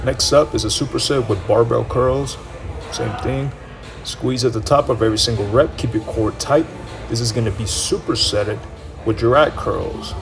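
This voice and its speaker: Faint music plays behind a man who talks at a moderate speed. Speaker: fitness coach. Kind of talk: casual vlog chat.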